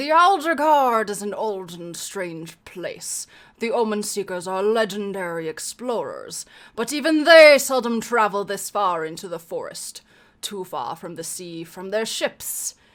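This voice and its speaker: Using a put-on character voice, a woman speaks at a moderate pace and a medium pitch. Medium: read story. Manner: measured, wise, storytelling.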